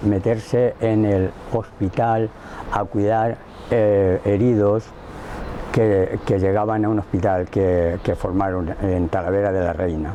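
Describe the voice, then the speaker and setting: A man's fairly low voice at a very slow pace, ordinary pitch variation and noticeable background noise. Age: 60s. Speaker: witness to family history. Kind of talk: testimony. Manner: halting.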